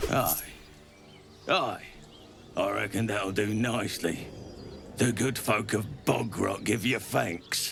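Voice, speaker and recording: A man puts on a raspy character voice, pitched fairly low and paced fairly slowly. Long, frequent pauses break up his speech, and clear background noise runs behind it. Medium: video game. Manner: mock-polite, cocky.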